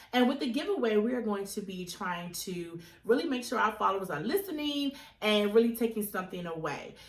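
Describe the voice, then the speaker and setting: Over noticeable background noise and audible room echo, a woman speaks fairly quickly at a fairly high pitch, her voice swinging very widely in pitch. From Virginia, Chesterfield County. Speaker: podcast co-host. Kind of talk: casual chat.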